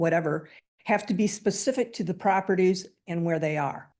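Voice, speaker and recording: A woman with a fairly low pitch and ordinary pitch variation speaks in a plain, everyday voice. The background is quiet. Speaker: public commenter. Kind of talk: public comment at meeting. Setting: township hall meeting.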